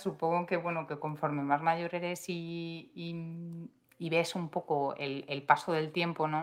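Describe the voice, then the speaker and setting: A woman speaks with a fairly low pitch and a plain, everyday voice. The recording is very clean, with a silent background. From Madrid, Spain. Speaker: podcast co-host. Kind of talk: casual chat.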